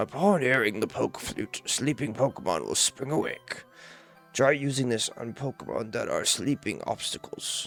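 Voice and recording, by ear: With faint music in the background, someone performs a put-on character voice at a moderate pace. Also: man, medium pitch for a man.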